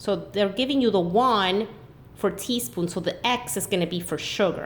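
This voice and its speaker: A woman with a normal speaking voice talks at a moderate pace and medium pitch, with lively intonation. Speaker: math teacher. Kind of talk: tutorial.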